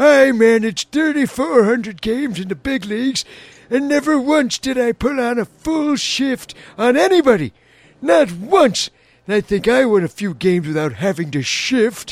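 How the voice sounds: Putting on a character voice, a man speaks at a moderate pace in an extremely high pitch with very wide pitch swings.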